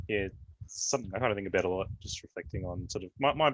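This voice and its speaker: Delivered at a very fast pace with an Australian accent, the speech has ordinary pitch variation and a dry, close sound with no echo. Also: man. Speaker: panelist, app developer. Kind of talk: panel discussion. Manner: hesitant, many fillers.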